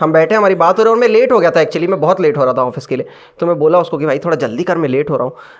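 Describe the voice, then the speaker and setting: Here a man speaks in a high pitch. His intonation is lively. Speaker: stand-up comedian. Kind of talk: stand-up comedy set. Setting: live comedy club.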